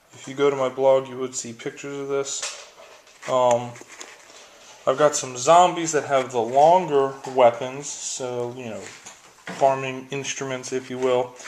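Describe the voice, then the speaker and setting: A man's monotone, flat voice at a fairly slow pace, with big swings in loudness and noticeable background noise. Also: medium pitch for a man. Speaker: wargaming hobbyist video maker. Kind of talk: product unboxing review. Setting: at home, filming one-handed. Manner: casual, chatty.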